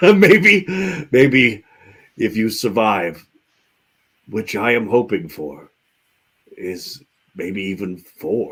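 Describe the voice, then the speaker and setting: A man in a put-on character voice talks at a very slow pace with long, frequent pauses, his medium pitch making very wide swings. His loudness rises and falls sharply. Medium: actual play. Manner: measured, cryptic.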